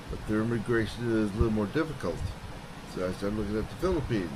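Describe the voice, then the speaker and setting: A man talks very fast with an American accent. The room echoes audibly, and background noise is noticeable. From US Midwest, Chicago. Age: 60s. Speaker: retired American expat, ex-military. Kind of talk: casual interview.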